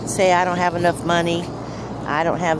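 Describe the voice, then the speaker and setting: A woman speaks at a moderate pace with a fairly low pitch. The sound is dry with no echo, and noticeable background noise is present. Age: 60s. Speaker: van-life vlogger. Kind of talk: casual vlog talk to camera. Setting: outdoors. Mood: earnest, encouraging. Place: open country.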